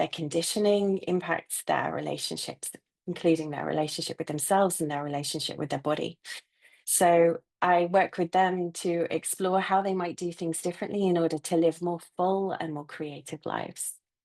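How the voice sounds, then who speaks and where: A woman speaks at a moderate pace in a fairly low pitch. She has a British accent and fairly even intonation. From UK. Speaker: therapist and coach. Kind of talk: panel introduction.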